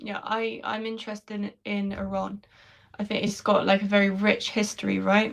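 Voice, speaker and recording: A woman with a London accent, at a moderate pace. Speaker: conversation partner. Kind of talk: casual chat.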